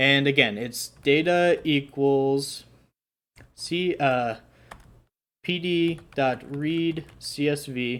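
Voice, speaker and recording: Recorded very cleanly against a silent background, a man with a fairly high pitch and an ordinary speaking voice talks with fairly even intonation. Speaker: coding tutorial youtuber. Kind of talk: tutorial. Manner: casual with fillers.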